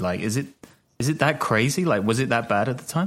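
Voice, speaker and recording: With a British accent, a man talks at a medium pitch. His voice moves in very wide pitch swings. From Britain. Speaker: podcast co-host and journalist. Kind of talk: casual chat. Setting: video call.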